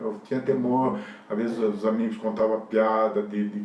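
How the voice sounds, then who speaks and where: Noticeable background noise and audible room echo around a man's speech. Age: 60s. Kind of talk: interview testimony. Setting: recorded interview with helpers present. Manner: casual, rambling with fillers.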